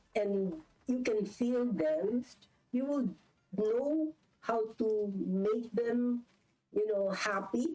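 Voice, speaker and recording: Speaking with a Filipino accent, a woman with a fairly high pitch and a dark, mellow tone talks at a very slow pace, leaving long, frequent pauses, with ordinary pitch variation and very even loudness. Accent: Filipino English, Taglish code-switching. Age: 70s. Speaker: business executive. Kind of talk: interview.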